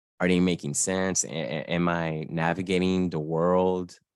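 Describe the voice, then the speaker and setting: A man with an American accent speaks in a very deep, low pitch with fairly even intonation. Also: very clean recording, silent background. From Florida. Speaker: gaming journalist. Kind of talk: interview. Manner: halting.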